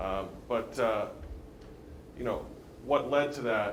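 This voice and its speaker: A man with an American accent, amid noticeable background noise and audible room echo. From Maryland, US Mid-Atlantic. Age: 30s. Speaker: former pro football player, recovery speaker. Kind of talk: motivational talk to students. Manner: hesitant, many fillers and repeats.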